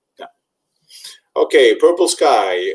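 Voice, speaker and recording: This man speaks with a Spanish accent. His pace is fairly quick. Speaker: webinar host for study-abroad agency. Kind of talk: webinar Q&A.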